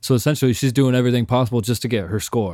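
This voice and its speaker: A man with a medium-pitched voice and a dark, mellow tone talks at a very fast pace on a very clean recording with a silent background. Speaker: podcast co-host. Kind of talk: casual banter.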